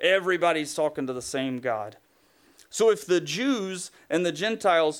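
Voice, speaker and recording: Lively intonation and a moderate pace come through on a very clean recording with a silent background. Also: man. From Tennessee, US South. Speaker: pastor. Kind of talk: sermon. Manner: casual, conversational.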